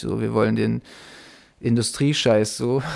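A man with a plain, everyday voice keeps a moderate pace and fairly even intonation in a very clean recording with a silent background. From Bielefeld, Germany. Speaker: rapper. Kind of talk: casual interview.

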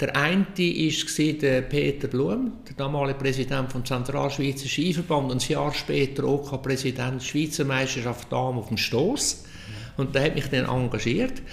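The speaker keeps a moderate pace, and the pitch moves in an ordinary way. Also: man, fairly high pitch for a man. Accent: Central Swiss. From Switzerland, canton of Nidwalden. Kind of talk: casual interview.

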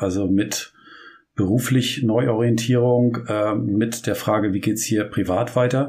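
On a very clean recording with a silent background, a man with a medium-pitched, somewhat breathy voice speaks at a fairly slow pace. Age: 40s. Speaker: podcast co-host. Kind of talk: casual chat. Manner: halting.

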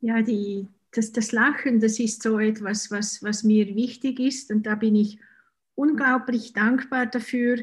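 A woman with a Swiss German accent speaks very slowly in a fairly high, somewhat breathy voice. Her intonation is flat and monotone, and the recording is very clean with a silent background. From Switzerland. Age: 50s. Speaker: author and hypnotherapist. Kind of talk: casual interview.

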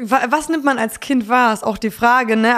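A woman's voice at a moderate pace with fairly even intonation. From Poland and North Frisia, Germany. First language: Polish (speaking German). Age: 20s. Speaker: singer-songwriter. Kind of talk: casual interview.

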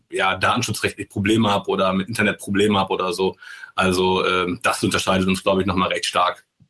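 This man talks at a very fast pace. His intonation is monotone and flat. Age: 30s. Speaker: sales manager for smart home software. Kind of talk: podcast interview.

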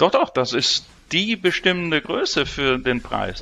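This man's voice has vocal fry and lively intonation, and he talks at a fairly slow pace. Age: 50s. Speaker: energy exchange CEO. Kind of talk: interview.

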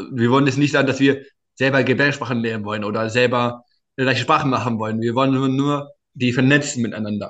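A man talks at a very fast pace. His pitch is medium and his intonation fairly even. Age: 20s. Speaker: startup founder and inclusion advocate. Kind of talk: interview.

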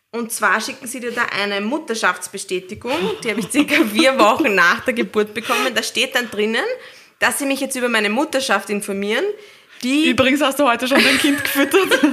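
A woman's high, bright, sharp voice with lively intonation at a fairly quick pace. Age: 30s. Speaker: new mother, office worker. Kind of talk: casual chat.

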